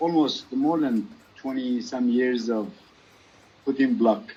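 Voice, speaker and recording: Very wide pitch swings mark a man's speech, delivered at a very slow pace. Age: 60s. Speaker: dentist. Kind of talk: casual chat.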